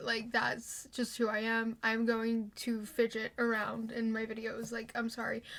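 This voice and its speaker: With a bright, sharp tone, a woman speaks at a fairly slow pace in a fairly high pitch. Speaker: YouTuber. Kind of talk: casual vlog chat.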